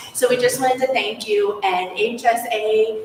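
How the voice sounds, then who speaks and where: A woman's pitch varies in an ordinary way while noticeable noise sits in the background. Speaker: teacher and union representative. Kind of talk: public comment. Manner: loud.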